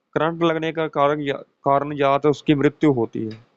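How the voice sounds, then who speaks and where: His voice sits fairly high for a man. He speaks very slowly. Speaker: occult mantra teacher. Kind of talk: spoken tutorial.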